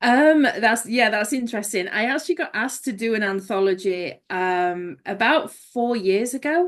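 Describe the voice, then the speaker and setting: A woman with an English accent, fairly high pitch, lively intonation and a moderate pace against a quiet background. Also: hardly any pauses. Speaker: author. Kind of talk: podcast interview.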